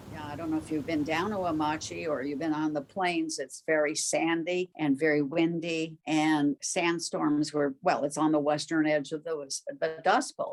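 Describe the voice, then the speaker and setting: A woman with an American accent speaks at a very deep, low pitch. Music plays in the background. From US, Japanese American. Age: 80s+. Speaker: camp survivor. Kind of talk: interview recollection.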